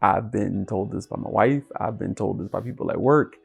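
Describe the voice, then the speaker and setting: A man's voice sits at a medium pitch. Music accompanies him in the background. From US Mid-Atlantic (Washington DC area, Virginia). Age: 30s. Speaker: YouTuber. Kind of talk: personal vlog monologue. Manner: casual, with frequent um fillers.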